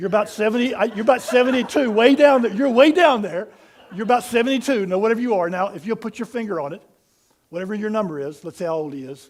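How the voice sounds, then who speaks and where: A man talks at a very fast pace in a high voice. His tone is animated. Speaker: pastor. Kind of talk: sermon.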